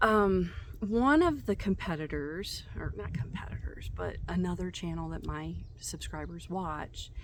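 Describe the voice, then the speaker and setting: Fairly slow speech with audible room echo. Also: woman. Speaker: YouTube creator, spiritual content. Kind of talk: casual vlog talk to camera. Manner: halting, many false starts.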